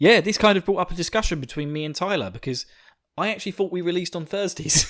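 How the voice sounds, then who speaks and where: A man speaks with a slight Essex accent. His pitch is high. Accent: slight Essex twang. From England, Essex. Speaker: podcast host. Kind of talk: casual chat. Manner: halting, many fillers.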